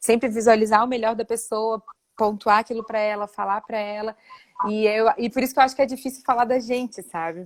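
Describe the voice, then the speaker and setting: In a normal speaking voice at a fairly quick pace, the sound comes across dry and close with no echo. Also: woman. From Florianópolis, southern Brazil. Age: 20s. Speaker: dance school owner, entrepreneur. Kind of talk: interview conversation.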